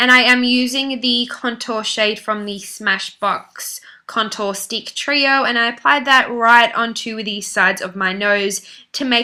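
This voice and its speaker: With a bright, sharp tone and fairly even intonation, a woman speaks in a very clean recording with a silent background. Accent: Australian. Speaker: beauty vlogger. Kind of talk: makeup tutorial voice-over. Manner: casual, chatty.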